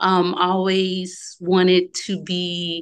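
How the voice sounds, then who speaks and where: In a Southern US accent, a woman talks at a medium pitch over a quiet background. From Louisiana, small town. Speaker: travel business owner. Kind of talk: interview.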